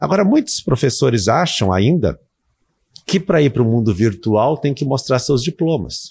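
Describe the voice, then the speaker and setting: Against a quiet background, a man with an unremarkable speaking voice talks. His pace is fairly quick and his intonation lively. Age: 50s. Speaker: university lecturer and online course creator. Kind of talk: casual interview.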